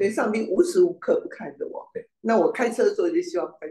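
There is audible echo from the room. The speaker is a man. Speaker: class participant; church history teacher. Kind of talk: casual chat. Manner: halting. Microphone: video call.

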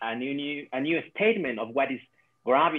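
A man is speaking here. He talks with a Latin American accent. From Ecuador. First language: Spanish. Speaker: quantum coach. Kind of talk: casual video-call conversation. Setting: video call. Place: home room. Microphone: video call.

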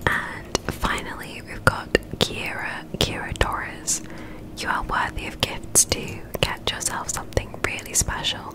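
Whispering at a fairly slow pace, a woman keeps a relaxed tone while her loudness swings widely. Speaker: gaming ASMR streamer. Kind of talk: ASMR whispered gameplay commentary. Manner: whispered, soft, relaxed. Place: home room. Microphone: studio mic.

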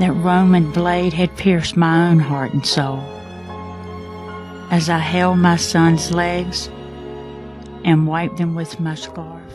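A woman talks very slowly with fairly even intonation and long, frequent pauses. Music plays in the background. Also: fairly low pitch for a woman. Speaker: voice actor playing Mary, mother of Jesus. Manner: emotional, reflective.

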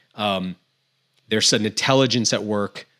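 Against a quiet background, a man speaks at a moderate pace with a fairly low pitch. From Maine. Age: 40s. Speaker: outdoor guide and podcaster; podcast guest. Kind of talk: casual interview chat. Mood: reflective, earnest. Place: home room. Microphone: studio mic.

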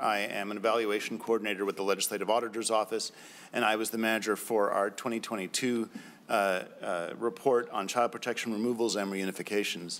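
Man talking at a fairly quick pace. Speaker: government program evaluator. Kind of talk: legislative hearing testimony. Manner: formal. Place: meeting room. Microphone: podium.

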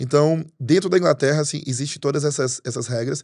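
A man talks at a very fast pace with fairly even intonation against a quiet background. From Portugal (Brazilian-born). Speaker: pastor. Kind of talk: interview conversation. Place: studio. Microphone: studio mic.

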